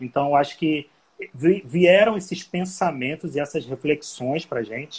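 Somewhat breathy, the man's fairly high voice moves with ordinary pitch variation. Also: moderate pace. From Rio de Janeiro, Brazil. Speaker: hostel co-founder. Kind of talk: casual live-stream conversation. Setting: Instagram live.

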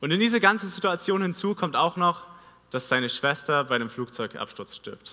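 A man with lively intonation and a high voice talks at a moderate pace. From Vogtland, Saxony, Germany. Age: 20s. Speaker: theology student preacher. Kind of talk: sermon. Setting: church stage.

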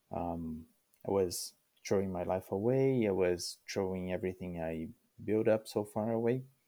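A man speaks with a very deep, low pitch and a dark, mellow tone. His pace is moderate, with ordinary pitch variation. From Brazil. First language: Portuguese. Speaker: immigrant sharing life story. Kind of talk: interview. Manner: halting, many fillers.

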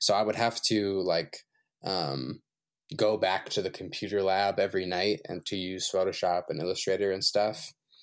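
A man with an American accent and an unremarkable speaking voice talks at a fairly low pitch with fairly even intonation, in a very clean recording with a silent background. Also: moderate pace. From US South, Shenandoah Valley, Virginia. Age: 20s. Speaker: visual artist. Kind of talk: casual chat.

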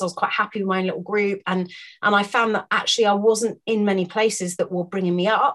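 Speaking at a fairly quick pace and medium pitch, a woman uses fairly even intonation in a British accent. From UK. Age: 40s. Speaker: wellness coach. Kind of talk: casual chat. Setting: office with dogs in background.

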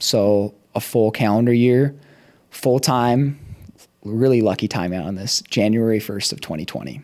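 With an American accent, a man speaks at a moderate pace in a medium pitch with a dark, mellow tone. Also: ordinary pitch variation. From Minnesota. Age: 20s. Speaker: CrossFit strength and conditioning coach. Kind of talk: casual interview chat. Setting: studio.

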